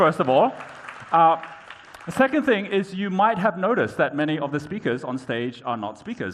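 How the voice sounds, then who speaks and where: Here a man talks at a fairly quick pace. His pitch swings very widely. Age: 50s. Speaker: entrepreneur and keynote speaker. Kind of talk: keynote talk. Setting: conference stage with audience. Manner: animated storytelling.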